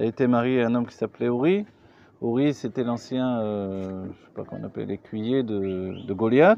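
A man speaks with ordinary pitch variation, his voice dry with no echo over light background noise. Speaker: religious teacher. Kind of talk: lecture. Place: tent. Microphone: phone near.

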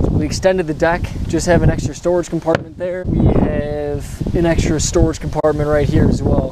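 The sound is dry with no echo as a man speaks at a moderate pace against loud background noise. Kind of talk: casual vlog tour. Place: boat. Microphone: phone near.

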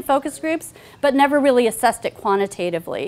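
The woman's intonation is lively. She speaks at a fairly quick pace. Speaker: researcher giving a talk. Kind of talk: academic presentation. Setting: lecture, taking audience questions. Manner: fast talker. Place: classroom.

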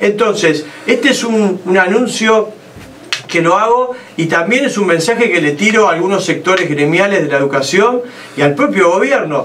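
A man with a Uruguayan accent, high-pitched, at a moderate pace, with lively intonation and very even loudness. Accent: Uruguayan Rioplatense Spanish. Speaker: presidential pre-candidate; politician, interview guest. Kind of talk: political interview. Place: studio.

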